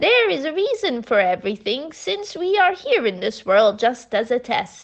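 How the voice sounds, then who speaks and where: A woman does a put-on character voice in a gentle tone at a moderate pace. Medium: read story. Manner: gentle, affectionate, patient.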